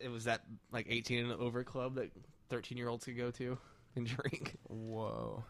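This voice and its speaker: A man talks at a medium pitch and a moderate pace. His intonation is monotone and flat. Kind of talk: casual chat.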